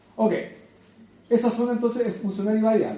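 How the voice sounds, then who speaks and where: A man talks at a very fast pace. Room echo is audible around him. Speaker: lecturer. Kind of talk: lecture.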